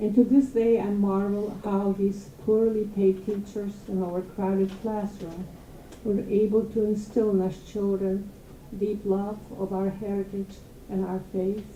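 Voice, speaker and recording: A woman's flat, monotone delivery at a fairly slow pace. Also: medium pitch for a woman. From Poland (Galicia, now Ukraine). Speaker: holocaust survivor. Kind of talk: testimony.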